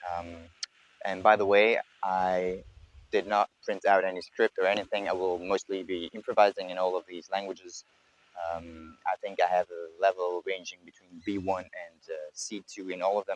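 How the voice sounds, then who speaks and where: Someone with a French accent talks at a moderate pace in a monotone, flat intonation, with big swings in loudness and a dry, close sound with no echo. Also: man, very deep, low pitch for a man. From Belgium, Brussels. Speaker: polyglot vlogger. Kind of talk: improvised monologue. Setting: outdoors in a park. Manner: hesitant, many fillers.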